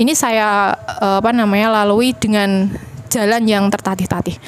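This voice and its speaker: Someone with a strong Javanese accent talks at a moderate pace over noticeable background noise. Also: woman. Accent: Javanese, medok. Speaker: university lecturer, panel speaker. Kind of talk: panel discussion talk. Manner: hesitant, many fillers.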